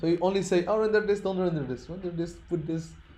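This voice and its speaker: A very fast-talking man with a high pitch, ordinary pitch variation and audible room echo. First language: not English (English is his third language). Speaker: programming teacher. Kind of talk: lecture. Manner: halting.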